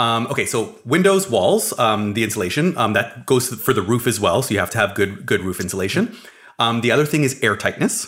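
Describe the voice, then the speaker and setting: Using an ordinary speaking voice, a man with a Canadian accent talks at medium pitch and a fairly quick pace with lively intonation. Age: 30s. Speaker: building science podcast co-host. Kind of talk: casual chat. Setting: studio.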